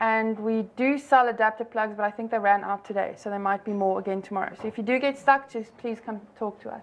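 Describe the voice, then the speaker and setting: A woman talks at a fairly quick pace with a fairly high pitch. Her intonation stays fairly even, though her loudness swings a lot. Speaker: conference organizer. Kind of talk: conference talk. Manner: fast.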